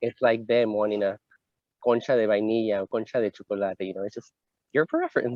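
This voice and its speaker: A man's fairly low voice in a Spanish accent, fairly even in intonation and at a fairly quick pace. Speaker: LGBT community advocate. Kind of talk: interview conversation.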